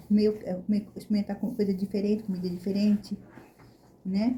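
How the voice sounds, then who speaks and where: Somewhat breathy and dark, mellow in tone, a woman speaks at a moderate pace and medium pitch with monotone, flat intonation. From Brazil. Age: 60s. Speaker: vlogger. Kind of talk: casual chat.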